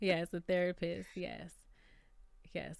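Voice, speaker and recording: A woman with a New York accent, a fairly low pitch, an animated tone and a fairly slow pace. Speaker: YouTube reality TV commentator. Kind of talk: casual livestream chat.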